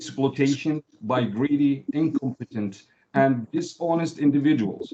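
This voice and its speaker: Dark and mellow in tone, a man's fairly high voice moves at a fairly slow pace with ordinary pitch variation and a non-native accent, the sound dry and close with no echo. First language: not English. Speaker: member of the public. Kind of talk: public comment.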